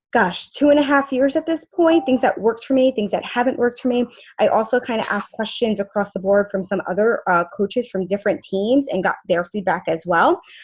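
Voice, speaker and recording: This woman talks at a fairly quick pace with hardly any pauses. Her fairly high pitch carries lively intonation. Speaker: fitness coach team leader. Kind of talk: team conference call presentation. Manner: fast.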